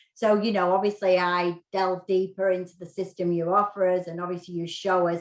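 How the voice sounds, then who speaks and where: A woman speaks with a British accent. Her intonation is fairly even. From UK. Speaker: real estate agent. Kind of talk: interview podcast.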